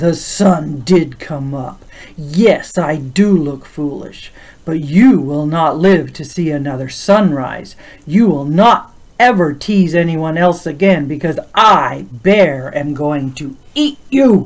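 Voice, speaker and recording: A put-on character voice growls along at a fairly slow pace. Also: man, fairly high pitch for a man. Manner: growling, threatening.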